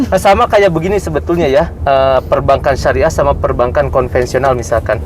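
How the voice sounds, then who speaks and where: A man speaks with a strong Sundanese accent at a very even loudness, with noticeable background noise behind him. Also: fairly quick pace. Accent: Sundanese-accented Indonesian, strong. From West Java (Sundanese), Bogor. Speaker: bank executive. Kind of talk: interview, explaining. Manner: hesitant, many fillers.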